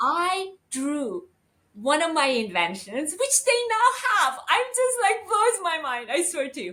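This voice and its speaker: A woman with an American accent speaks in a raised, projected voice at an extremely high pitch. She talks at a very slow pace with very wide pitch swings. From US West Coast. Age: 60s. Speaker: lawyer and beauty brand founder. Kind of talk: interview.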